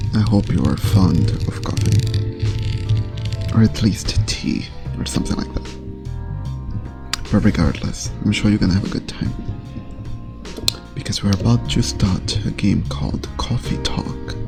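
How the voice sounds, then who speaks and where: Soft-spoken, a man with a very deep, low pitch talks at a fairly slow pace, with very wide pitch swings and long, frequent pauses, over music in the background. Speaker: gaming ASMR streamer. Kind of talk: casual talk to camera.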